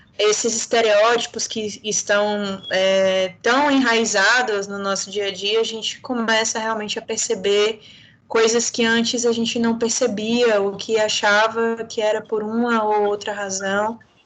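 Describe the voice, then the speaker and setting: A woman in a Bahian accent speaks fairly slowly with a fairly high pitch and monotone, flat intonation. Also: hardly any pauses. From Bahia, Brazil. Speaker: lawyer, panel speaker. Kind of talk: panel discussion.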